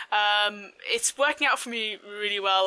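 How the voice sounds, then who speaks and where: A woman at a medium pitch, with music in the background. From Southeast England. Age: 20s. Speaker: gaming streamer. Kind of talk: vlog-style personal story. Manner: frequent fillers (um, uh).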